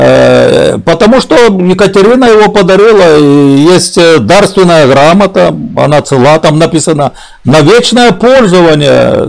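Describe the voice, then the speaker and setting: Fairly slow delivery over a quiet background. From southern Ukraine. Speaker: streamer. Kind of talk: casual chat. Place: home room.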